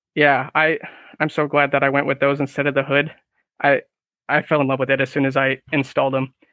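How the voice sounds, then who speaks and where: With an American accent, the speaker keeps a monotone, flat intonation and very even loudness, broken by long, frequent pauses. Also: man, fairly high pitch for a man. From Northern California. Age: 20s. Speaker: car enthusiast. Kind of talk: casual chat.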